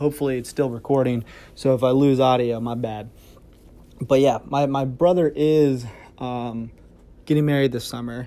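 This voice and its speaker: With a dark, mellow tone, a man talks in a medium pitch at a fairly slow pace. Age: 20s. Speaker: video editor and podcaster. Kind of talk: casual monologue. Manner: rambling with many fillers.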